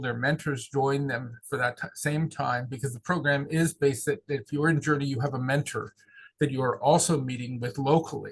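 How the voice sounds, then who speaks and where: This man has an American accent and a fairly high pitch. He speaks at a moderate pace, somewhat breathy, with fairly even intonation. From southeast Pennsylvania. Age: 60s. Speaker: pastoral consultant and seminary teacher. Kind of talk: interview. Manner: halting, many repeated words.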